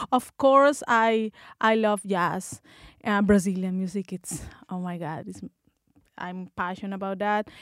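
A woman's medium-pitched voice in a Spanish accent, fairly slow with long, frequent pauses, ordinary pitch variation and big swings in loudness, in a dry, close sound with no echo on a very clean recording with a silent background. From Colombia. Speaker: bassist and music student. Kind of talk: interview. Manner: halting.

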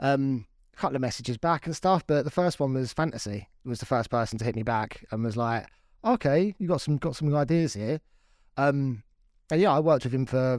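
A man's fairly high voice with a southern English accent, fairly quick and lively in intonation, on a very clean recording with a silent background. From Crawley, West Sussex, southern England. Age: 30s. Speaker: drum and bass producer and DJ. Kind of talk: casual chat. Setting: home studio.

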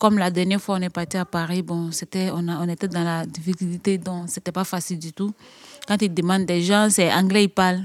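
Speaking at a fairly quick pace, a woman has a medium pitch and monotone, flat intonation. The sound is dry and close with no echo. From Côte d'Ivoire. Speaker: young migrant. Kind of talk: testimony. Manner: halting.

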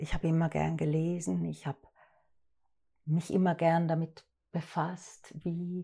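A woman speaks very slowly in a somewhat breathy, dark, mellow voice at a fairly low pitch, on a very clean recording with a silent background. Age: 50s. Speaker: actress and director. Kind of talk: interview.

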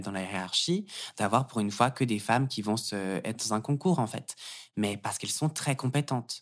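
A man talks in a plain, everyday voice at a moderate pace with ordinary pitch variation. The recording is very clean, with a silent background. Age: 20s. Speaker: yoga teacher and gender studies student. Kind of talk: casual interview.

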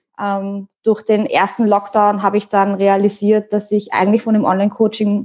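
The delivery moves at a moderate pace with hardly any pauses, its dark, mellow tone held in a monotone with flat intonation. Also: woman. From Austria. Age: 30s. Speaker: online fitness coach. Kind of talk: casual chat.

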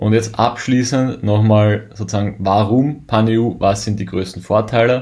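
This man has a fairly low pitch and a dark, mellow tone. He talks very slowly with fairly even intonation. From Austria. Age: 20s. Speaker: e-commerce seller and account manager. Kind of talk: conference presentation.

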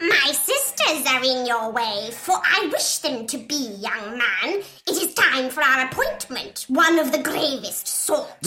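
Over clear background noise, a female-sounding, put-on character voice speaks high in pitch at a fairly slow pace. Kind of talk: mystical fortune-teller. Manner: solemn, ominous prophecy.

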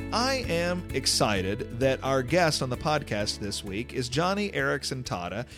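With an unremarkable speaking voice, a man talks at a medium pitch and a fairly slow pace. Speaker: podcast host. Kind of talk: podcast introduction and outro.

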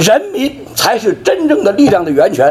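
Against noticeable background noise, a man's voice moves through very wide pitch swings. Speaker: dissident speaker. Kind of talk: speech at a memorial event.

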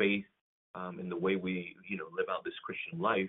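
The speaker is a man with a Spanish accent. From Puerto Rico. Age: 30s. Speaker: pastor. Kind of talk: casual interview. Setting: remote call.

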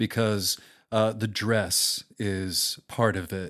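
On a very clean recording with a silent background, a man speaks with an American accent at a fairly low pitch. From US Midwest, Omaha, Nebraska. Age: 50s. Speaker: public radio host and producer. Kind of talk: casual interview conversation.

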